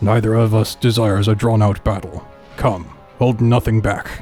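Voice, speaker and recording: Over clear music in the background, a man puts on a character voice. He speaks at a medium pitch and a moderate pace. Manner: grand, formal.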